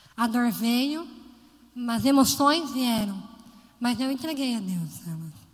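The speech moves at a very slow pace with long, frequent pauses and lively intonation, and audible room echo fills the space. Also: woman, high pitch for a woman. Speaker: lay preacher. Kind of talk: sermon.

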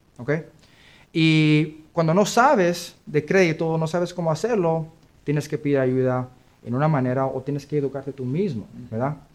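A man with an ordinary speaking voice talks at a moderate pace in a fairly high pitch with ordinary pitch variation. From US Midwest, Kansas City. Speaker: credit repair business owner. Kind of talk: interview.

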